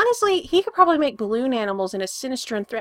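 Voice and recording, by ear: Someone is heard reading aloud in a natural voice.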